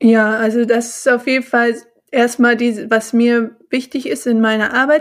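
Here is a woman with an unremarkable speaking voice. It sits fairly high in pitch with fairly even intonation. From Bonn, Germany. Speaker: mindfulness and yoga teacher. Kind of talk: casual interview.

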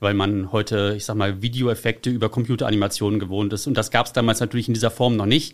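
A man speaks at a very fast pace. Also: very clean recording, silent background. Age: 30s. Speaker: car enthusiast and community founder. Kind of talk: casual interview. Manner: frequent filler sounds.

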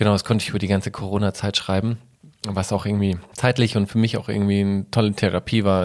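The man talks at a very fast pace. His pitch is fairly low, his intonation monotone and flat. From Germany, Munich (Bavaria). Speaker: photographer and former model. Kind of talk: interview. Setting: host's living room.

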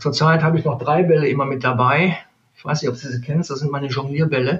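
Somewhat breathy, the voice moves at a very fast pace. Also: man. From Neuss, Rhineland, Germany. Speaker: sales manager. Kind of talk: interview.

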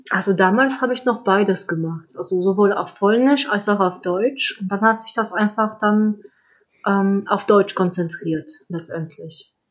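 A woman with a slight non-native accent speaks at a fairly slow pace, using a medium pitch and ordinary pitch variation. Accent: slight foreign accent in German. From Poland. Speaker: children's book author. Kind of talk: interview.

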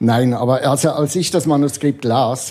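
This man's voice has a dark, mellow tone, is somewhat breathy, and shows ordinary pitch variation. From Switzerland. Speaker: comic illustrator. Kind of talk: casual chat. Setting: bookshop bar.

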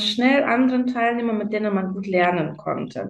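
A woman with a non-native accent, fairly high pitch, a somewhat breathy voice, ordinary pitch variation and a moderate pace. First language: not German (speaking German). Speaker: nurse. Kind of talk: interview. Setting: remote call.

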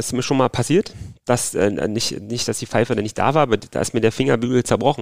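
Vocal fry runs through this man's medium-pitched voice as he speaks at a very fast pace. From Berlin, Germany. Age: 30s. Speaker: football referee. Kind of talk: interview. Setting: at home in Berlin.

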